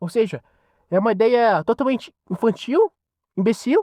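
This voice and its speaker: An extremely high-pitched man's voice, animated and with lively intonation, at a fairly slow pace in a very clean, silent recording with a dry, close sound and no echo. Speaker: podcaster. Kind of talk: opinion monologue.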